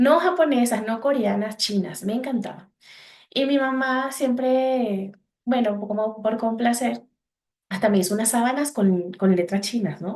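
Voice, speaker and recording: This woman has a fairly high voice, a Venezuelan accent and lively intonation. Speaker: psychologist. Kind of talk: podcast interview. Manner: halting.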